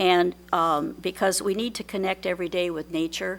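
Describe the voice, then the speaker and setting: The speaker is a woman with a medium pitch. She talks at a fairly slow pace. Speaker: public commenter. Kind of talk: public comment at hearing. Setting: public meeting room. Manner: loud; halting.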